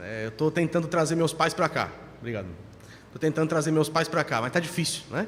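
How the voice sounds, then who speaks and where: With ordinary pitch variation, a man talks at a fairly quick pace and a fairly high pitch. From Brazil, São Paulo. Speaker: pastor. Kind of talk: sermon. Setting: church.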